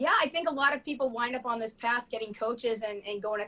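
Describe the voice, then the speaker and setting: At a very fast pace, the voice comes across animated, with an American accent. Its tone is bright and sharp. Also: woman. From Boston area, US. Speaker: bartender and comedic storyteller. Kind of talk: casual chat.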